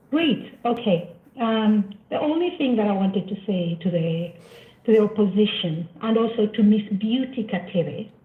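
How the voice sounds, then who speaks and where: Speech with lively intonation moves at a moderate speed amid noticeable background noise. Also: woman, fairly high pitch for a woman. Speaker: caller. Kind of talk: call-in comment. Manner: quiet.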